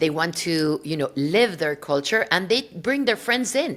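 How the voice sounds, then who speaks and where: This woman speaks with a Spanish accent, her pitch swinging very widely. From Mexico City, Mexico. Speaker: podcast host. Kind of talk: interview podcast. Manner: animated.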